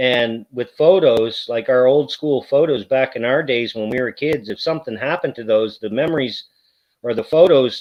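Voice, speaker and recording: A man with an ordinary speaking voice, medium pitch and moderate pace. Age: 40s. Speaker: YouTuber. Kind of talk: casual chat.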